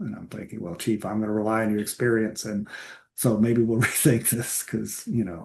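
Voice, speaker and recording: Speaking at a moderate pace with an American accent, a man with an unremarkable speaking voice keeps a fairly low pitch and fairly even intonation, though his loudness swings widely. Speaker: historian and author, former Navy SEAL. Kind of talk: interview conversation.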